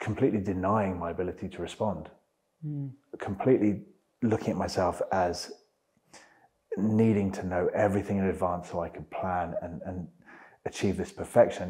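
Over a quiet background, a man with a very deep, low pitch and a dark, mellow tone talks at a moderate pace with fairly even intonation and long, frequent pauses. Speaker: interview guest. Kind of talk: interview answer. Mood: reflective, earnest. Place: home room. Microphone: lapel.

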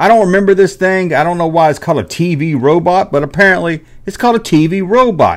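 In a rural Southern US accent, a man with a high pitch and an animated tone speaks at a moderate pace against a quiet background. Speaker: YouTuber, toy collector. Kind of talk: casual monologue. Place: home room. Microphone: studio mic.

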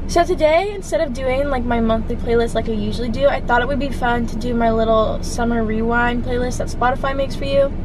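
Over noticeable background noise, a woman talks very fast at a high pitch with ordinary pitch variation, the sound dry with no echo. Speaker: vlogger. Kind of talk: casual vlog chat. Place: car. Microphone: phone near.

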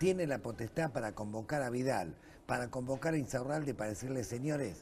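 With light background noise behind him, a man talks at a fairly quick pace in a somewhat breathy voice with lively intonation. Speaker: guest. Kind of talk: interview answer. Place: studio.

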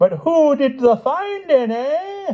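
This put-on character voice moves slowly and swings widely in pitch.

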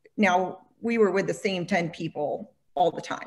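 Using vocal fry, a woman speaks at a fairly slow pace and a fairly low pitch with ordinary pitch variation. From Alabama, Birmingham. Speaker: travel agency founder. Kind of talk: panel discussion.

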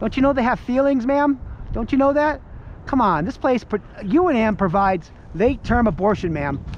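Dry sound with no echo, light background noise, and a moderate pace. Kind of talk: street preaching, calling out to a passer-by. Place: street. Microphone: phone near.

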